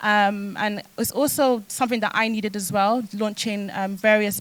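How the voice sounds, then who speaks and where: A woman with a London accent talks at a fairly quick pace in a medium pitch, her intonation monotone and flat. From London, with time in South Wales. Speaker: fashion entrepreneur. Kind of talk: panel discussion.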